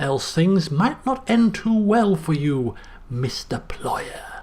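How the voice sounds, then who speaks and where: Putting on a character voice, a man talks very slowly at a high pitch with very wide pitch swings. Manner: threatening.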